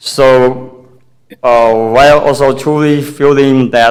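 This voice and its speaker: A man with a Chinese accent talks at a very slow pace, his pitch medium. His intonation stays monotone and flat. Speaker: parent speaking at public forum. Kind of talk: public comment speech. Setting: city hall meeting. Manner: halting.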